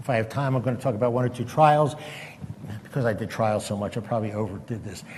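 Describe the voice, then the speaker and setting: This man talks at a very fast pace in a medium-pitched voice with ordinary pitch variation, and room echo is audible. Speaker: retired psychiatrist giving a talk. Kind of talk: lecture. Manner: halting.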